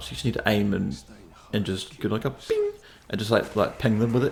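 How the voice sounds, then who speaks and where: A man's somewhat breathy voice with a fairly low pitch. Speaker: gaming video creator. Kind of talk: game walkthrough commentary. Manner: casual, slightly slurred.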